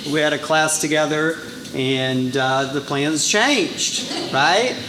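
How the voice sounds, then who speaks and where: There is audible room echo and noticeable background noise. A man is speaking. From Brazil. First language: Portuguese. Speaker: title insurance sales rep. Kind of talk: business presentation. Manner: casual, many fillers.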